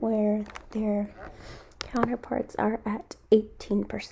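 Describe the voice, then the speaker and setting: A woman with a fairly high pitch and fairly even intonation talks over noticeable background noise. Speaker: student. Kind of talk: class presentation.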